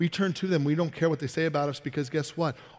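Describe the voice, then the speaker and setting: A man speaks against a quiet background. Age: 20s. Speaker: pastor. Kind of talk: sermon. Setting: church. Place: church.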